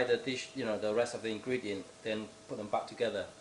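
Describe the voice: A man talks at a moderate pace. Room echo is audible.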